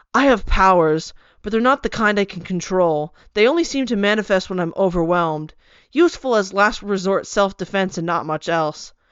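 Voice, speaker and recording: A woman at medium pitch mumbles through a put-on character voice with lively intonation at a moderate pace. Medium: read story. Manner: terse, mumbling.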